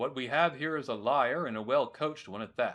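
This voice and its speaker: A man's put-on, growling character voice with lively intonation, at a moderate pace against a quiet background. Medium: solo performance. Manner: stern, commanding.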